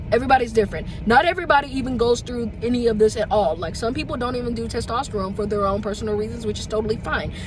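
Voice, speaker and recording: With noticeable background noise behind him, a man with an extremely high pitch talks at a very fast pace with ordinary pitch variation. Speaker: vlogger. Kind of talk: casual vlog talk.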